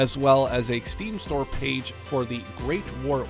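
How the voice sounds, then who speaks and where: A man speaks with music in the background. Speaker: gaming YouTuber. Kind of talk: casual talk to camera, game preview.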